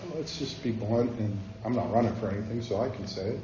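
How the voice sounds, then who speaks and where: A man with an American accent, in a room with audible echo. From northern Ohio, Cleveland area. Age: 50s. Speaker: communications professional. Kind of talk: talk with audience Q&A. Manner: calm.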